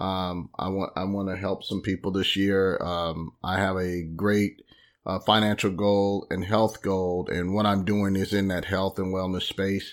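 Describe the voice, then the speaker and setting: Flat, monotone intonation at a fairly slow pace in a very clean recording with a silent background. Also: man, very deep, low pitch for a man. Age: 50s. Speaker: podcast host, wellness business promoter. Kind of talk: solo podcast monologue. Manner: halting, many fillers.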